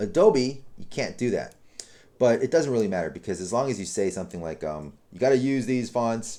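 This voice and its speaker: The voice has a dark, mellow tone. It moves at a fairly quick pace with lively intonation. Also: man, medium pitch for a man. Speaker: web design tutor. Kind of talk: tutorial. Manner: fast; casual with many fillers.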